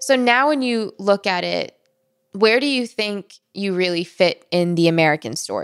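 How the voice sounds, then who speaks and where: A woman talks with an ordinary speaking voice. Her pitch is medium and her intonation lively. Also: moderate pace. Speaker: podcast host and journalist. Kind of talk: narrated storytelling and interview.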